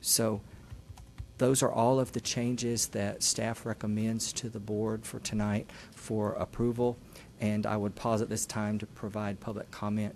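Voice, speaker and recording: Fairly slow and monotone, a man speaks at a fairly low pitch with flat intonation. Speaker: school district staff presenter. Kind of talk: formal presentation at board meeting. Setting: public board meeting. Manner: formal.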